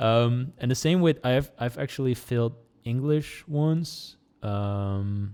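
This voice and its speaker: The tone is dark and mellow, with ordinary pitch variation. The pace is very slow. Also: man, medium pitch for a man. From Netherlands. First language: Dutch. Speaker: small YouTuber. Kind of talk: casual chat. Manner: halting.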